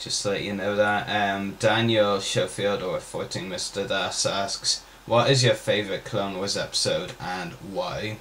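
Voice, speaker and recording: Fairly slow speech from a man, with light noise in the background. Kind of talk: casual Q&A vlog chat. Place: home room. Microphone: webcam.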